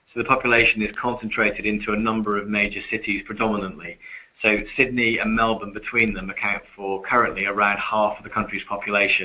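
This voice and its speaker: A man talks at a very fast pace in a fairly low, flat monotone. Noticeable background noise sits behind him. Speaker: retail executive. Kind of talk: webinar presentation. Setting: webinar. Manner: hesitant, many fillers.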